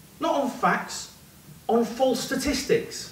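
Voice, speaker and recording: Audible room echo surrounds a man speaking with ordinary pitch variation. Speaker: performance poet. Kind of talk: spoken word poetry performance, rhythmic and rhyming. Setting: stage with audience in a pub. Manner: impassioned, building to a declamatory climax; punchy, clipped rhetorical delivery. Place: bar.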